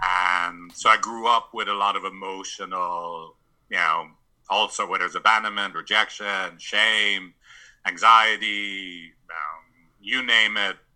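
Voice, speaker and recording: A man speaks fairly slowly at a fairly low pitch. His tone is bright and sharp. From San Francisco, US West Coast. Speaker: couples therapist. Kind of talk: interview.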